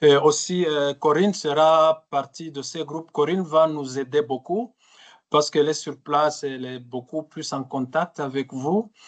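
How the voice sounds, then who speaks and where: Against a quiet background, a man with a fairly high voice speaks at a fairly slow pace with fairly even intonation. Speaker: trainer. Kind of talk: webinar training session. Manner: halting, many fillers and repetitions.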